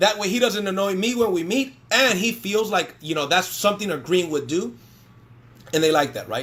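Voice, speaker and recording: This man's voice is high-pitched, with lively intonation. His tone is animated. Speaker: network marketing trainer. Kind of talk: live-streamed sales training. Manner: fast.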